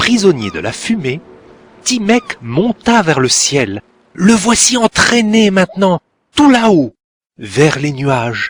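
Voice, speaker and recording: In a dry, close recording with no echo, a man with a high voice talks at a very slow pace, with long, frequent pauses and very wide pitch swings. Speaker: storyteller. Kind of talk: read story. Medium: cartoon.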